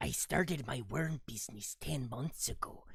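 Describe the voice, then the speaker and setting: Using a put-on character voice, the speaker holds a moderate pace at a low-to-middle pitch. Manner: silly, funny.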